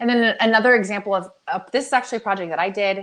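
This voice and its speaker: The speaker is a woman. She goes very fast. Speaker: product development agency owner. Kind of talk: webinar presentation. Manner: animated.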